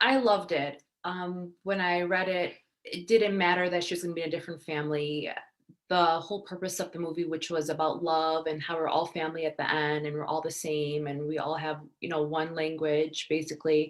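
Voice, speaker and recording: Her pitch fairly low, a woman speaks at a fairly quick pace with fairly even intonation. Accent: Michigan. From Detroit area, Michigan, US. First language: Arabic (Iraqi). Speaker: actress and model. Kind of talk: interview.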